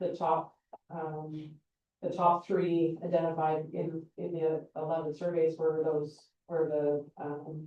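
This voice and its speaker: A woman's put-on character voice, mumbling in a very deep, low pitch with monotone, flat intonation at a fairly slow pace. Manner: mumbling and stumbling over words.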